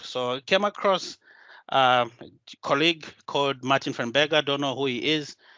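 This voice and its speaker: A man speaks at a moderate pace with a Zimbabwean accent. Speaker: solution designer and tech community speaker. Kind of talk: conference talk. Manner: hesitant, many filler sounds.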